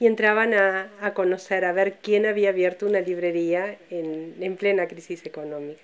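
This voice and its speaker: A woman at a moderate pace, fairly even in intonation, with hardly any pauses. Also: medium pitch for a woman, big swings in loudness. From Uruguay. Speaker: bookshop owner. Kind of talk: interview. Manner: hesitant.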